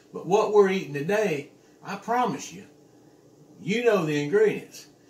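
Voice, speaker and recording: At a moderate pace, a man speaks with audible room echo around his voice. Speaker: home cook vlogger. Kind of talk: casual cooking tutorial. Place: kitchen.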